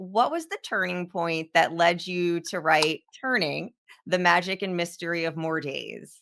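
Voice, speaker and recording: A plain, everyday voice moves at a fairly slow pace with fairly even intonation. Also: woman, fairly low pitch for a woman. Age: 40s. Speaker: podcast host. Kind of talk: interview.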